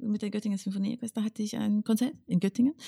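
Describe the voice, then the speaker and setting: Recorded with a dry, close sound and no echo, a woman speaks at a fairly high pitch in a somewhat breathy, dark, mellow tone. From northern England, Northumberland. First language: English (speaking German). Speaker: conductor. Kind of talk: casual interview. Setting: home studio.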